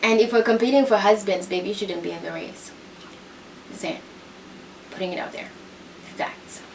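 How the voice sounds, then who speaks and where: Over noticeable background noise and audible room echo, a woman with a non-native accent speaks in an animated tone at a moderate pace, with long, frequent pauses, ordinary pitch variation and big swings in loudness. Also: medium pitch for a woman. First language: not English. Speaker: reality TV commentator. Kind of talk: casual commentary recap.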